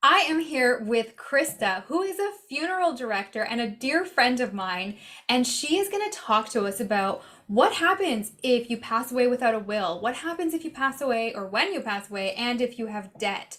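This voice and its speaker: Her high-pitched voice swings very widely in pitch as the woman talks at a moderate pace with hardly any pauses. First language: not English. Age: adult parent. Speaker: personal finance YouTuber. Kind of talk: casual interview.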